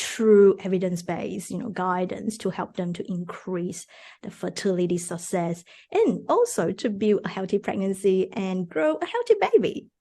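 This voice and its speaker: A woman speaks at a medium pitch in a dark, mellow tone that is somewhat breathy. Her intonation stays fairly even while her loudness swings widely. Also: moderate pace. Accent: Mandarin. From Malaysia. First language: Mandarin. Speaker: fertility dietitian. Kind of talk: podcast interview. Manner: hesitant, many fillers.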